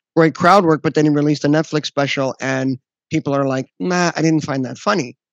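A man with an unremarkable speaking voice talks at a fairly quick pace and fairly high pitch, with ordinary pitch variation. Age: 40s. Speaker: podcast host and comedian. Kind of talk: casual interview.

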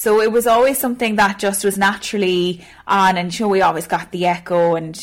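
With a Cork accent, a woman talks at a very fast pace, her medium pitch showing ordinary variation. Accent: Cork Irish. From Ireland, Cork (Ballygarvan). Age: 20s. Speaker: radio newsreader. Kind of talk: casual interview.

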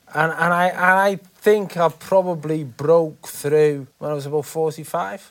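With an unremarkable speaking voice, a man of fairly high pitch speaks at a fairly slow pace with ordinary pitch variation and hardly any pauses. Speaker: interviewer. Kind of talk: interview.

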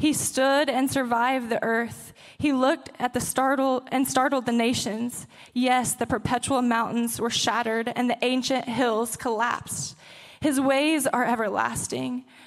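The delivery comes at a moderate pace. Its intonation is monotone and flat. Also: woman. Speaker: college pastor reading scripture. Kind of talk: reading aloud. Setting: church.

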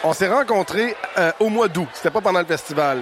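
With noticeable background noise present, a man talks using ordinary pitch variation. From Quebec, Témiscamingue. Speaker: stage manager. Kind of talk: storytelling.

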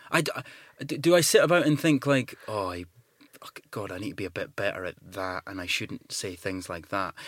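At a moderate pace, a man speaks with very wide pitch swings and big shifts in loudness in a dry, close recording with no echo. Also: fairly low pitch for a man. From Scotland. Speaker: actor. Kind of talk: casual interview chat.

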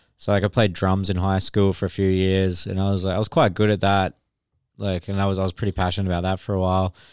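Very fast speech in an Australian accent, monotone and flat in intonation, with a dry, close sound, no echo, and a very clean recording over a silent background. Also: man, very deep, low pitch for a man. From Australia, Brisbane (Redlands). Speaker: artist and former band vocalist. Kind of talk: casual chat.

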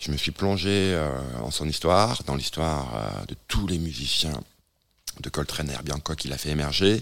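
Very deep and low, a man's voice with vocal fry and lively intonation moves at a moderate pace with long, frequent pauses. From southwest France. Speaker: music manager and publisher. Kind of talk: casual radio conversation. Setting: radio studio.

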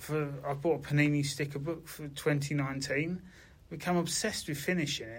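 A somewhat breathy voice at a moderate pace, with audible room echo. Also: man, fairly high pitch for a man, fairly even intonation. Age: 50s. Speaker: bank worker with Parkinson's. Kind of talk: casual chat.

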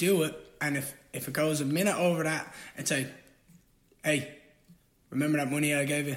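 At a fairly quick pace, a man with a fairly high pitch talks in a monotone, flat way, leaving long, frequent pauses. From Ireland. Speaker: fighter. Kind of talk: casual chat.

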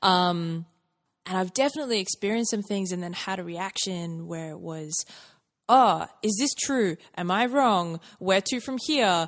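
Over a quiet background, a woman with a normal speaking voice and medium pitch talks at a moderate pace with lively intonation. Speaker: podcast host. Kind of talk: casual interview.

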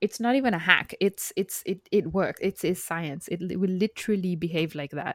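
Recorded very cleanly against a silent background, a woman speaks at a moderate pace with a medium pitch and ordinary pitch variation. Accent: non-native. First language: not English. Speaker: podcast co-host, woman in STEM. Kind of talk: casual podcast discussion.

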